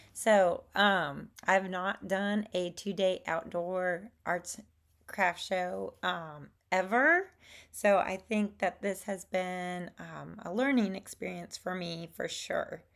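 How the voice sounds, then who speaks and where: A woman with a Southern US accent at a very slow pace, fairly even intonation, very clean recording with a silent background. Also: medium pitch for a woman. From Alabama, US Gulf Coast. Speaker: watercolor artist and crafter. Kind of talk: casual talk to camera. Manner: hesitant, many fillers.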